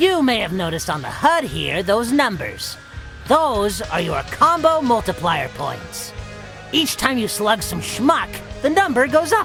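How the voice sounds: A cartoonish character voice with vocal fry and a fairly bright tone moves at a fairly slow pace through very wide pitch swings, with faint music in the background.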